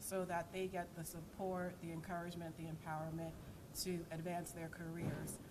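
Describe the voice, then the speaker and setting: A woman with an American accent speaks at a fairly quick pace, with a fairly low pitch and monotone, flat intonation. Audible room echo and noticeable background noise surround her voice. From United States. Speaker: network founder and CEO, former lawyer. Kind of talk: conference panel introduction. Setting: conference stage with audience.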